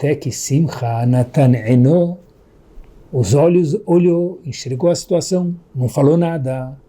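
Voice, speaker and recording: A man is talking. He has a dark, mellow tone. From Brazil, São Paulo. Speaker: rabbi giving Torah lesson. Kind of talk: religious lecture. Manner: animated.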